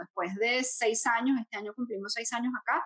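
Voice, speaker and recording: Fairly high-pitched and fairly quick, a woman speaks with a Venezuelan accent. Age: 40s. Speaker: podcast co-host. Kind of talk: casual chat.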